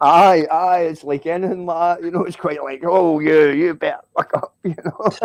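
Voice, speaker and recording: Speaking with a Scottish accent, a man at a high pitch keeps a moderate pace with hardly any pauses and monotone, flat intonation. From Scotland. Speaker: live stream viewer joining the chat. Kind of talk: casual chat.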